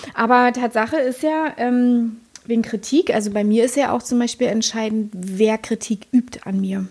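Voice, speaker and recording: A woman with an unremarkable speaking voice talks at a moderate pace. Her pitch is fairly high, with ordinary pitch variation. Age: 40s. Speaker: podcast co-host. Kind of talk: casual chat.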